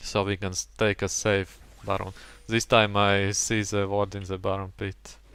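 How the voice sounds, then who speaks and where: Talking at a moderate pace with a non-native accent, a man uses a fairly low pitch and a monotone, flat intonation. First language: not English. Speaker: gaming commentator. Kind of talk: gameplay commentary.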